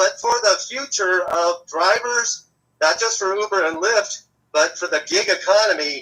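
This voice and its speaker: A man's raised, projected voice, high in pitch with a bright, sharp tone, lively intonation and a fairly slow pace. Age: 60s. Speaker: rideshare driver and activist. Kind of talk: live interview.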